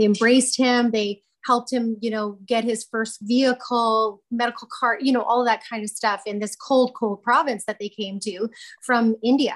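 A woman's fairly even intonation and moderate pace come across against a quiet background. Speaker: candidate, remote guest. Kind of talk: interview answer. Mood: emotional, personal storytelling. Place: office. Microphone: video call.

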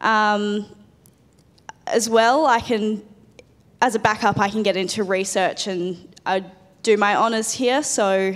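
A woman with an Australian accent speaks at a fairly slow pace in a medium pitch, her intonation fairly even and her speech broken by long, frequent pauses. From Adelaide, Australia; South Australia. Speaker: biomedical science student; panelist. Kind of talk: panel presentation. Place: hall. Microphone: handheld.

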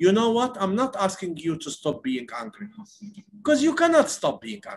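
A man speaks with an Arabic accent. His pitch swings very widely. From West Bank, Palestine. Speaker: nonviolence activist. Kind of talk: interview. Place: home room. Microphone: earbuds.

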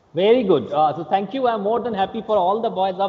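A man speaks at a high pitch with a slightly husky edge. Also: ordinary pitch variation, fairly quick pace.

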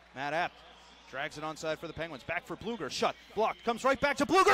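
A man's raised, projected voice in an animated tone, dry with no echo, over light background noise. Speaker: hockey play-by-play announcer. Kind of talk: live commentary. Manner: animated, excitable; fast-paced play-by-play, rising to a shout on goals.

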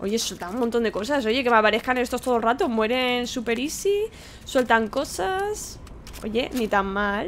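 Over light background noise, a woman with a Spanish accent speaks fairly slowly at a fairly high pitch, her tone animated and her pitch variation ordinary. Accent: Peninsular Spanish. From Spain. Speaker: gaming YouTuber. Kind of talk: let's play commentary. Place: home room. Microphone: studio mic.

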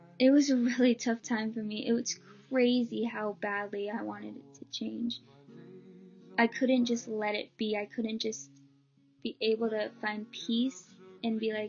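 A woman at a fairly slow pace, fairly even in intonation, with long, frequent pauses and faint music in the background. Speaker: vlogger. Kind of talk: personal story vlog. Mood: earnest, emotional. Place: home room. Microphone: webcam.

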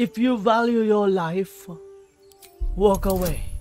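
Over faint background music, a man does a put-on character voice at a high pitch and a fairly slow pace. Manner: lame, forced, stilted.

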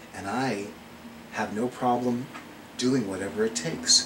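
A man talks at a moderate pace in a fairly low voice. Noticeable background noise can be heard. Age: 50s. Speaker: psychic and witch video blogger; witch video blogger. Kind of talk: video monologue. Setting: indoors at home with fan. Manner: animated. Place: home room. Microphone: webcam.

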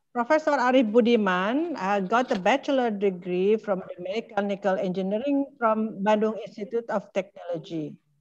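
Over light background noise, a woman talks at a moderate pace with a fairly high pitch and ordinary pitch variation. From Indonesia. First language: Indonesian. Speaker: professor and research institute head moderating a webinar; professor. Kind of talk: webinar moderation. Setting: video call on mobile phone. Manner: halting. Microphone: video call.

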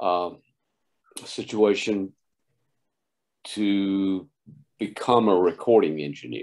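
Against a quiet background, a man with a Southern US accent speaks very slowly at a fairly low pitch, with ordinary pitch variation and long, frequent pauses. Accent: Southern US (Georgia). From US South, Oglethorpe County, Georgia. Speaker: sound engineer and producer. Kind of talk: interview. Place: home room. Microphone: video call.

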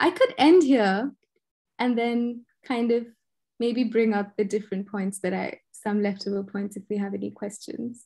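A woman's somewhat breathy, dark, mellow voice at a moderate pace, with ordinary pitch variation and a quiet background. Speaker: artist and researcher; guest lecturer. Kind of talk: lecture. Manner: gentle and reflective. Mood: reflective, thoughtful. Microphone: video call.

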